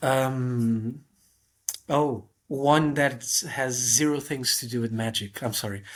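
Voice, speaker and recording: Speaking with a Portuguese accent, a man moves at a very slow pace with fairly even intonation and long, frequent pauses. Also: medium pitch for a man. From Portugal. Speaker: magician. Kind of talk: casual chat. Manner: halting.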